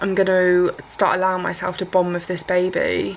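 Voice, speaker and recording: In an English accent, a woman speaks at a moderate pace. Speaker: vlogger. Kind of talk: personal vlog. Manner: halting, occasional stutter.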